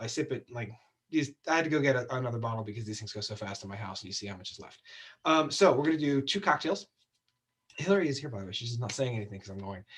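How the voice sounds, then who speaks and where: A man puts on a raspy character voice at a medium pitch. He races along very fast with lively intonation. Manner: talking really fast.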